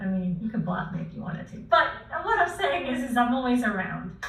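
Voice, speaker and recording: A woman speaks with a high pitch. There is noticeable background noise and audible room echo. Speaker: online course creator. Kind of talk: live stream Q&A. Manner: fast; filler words.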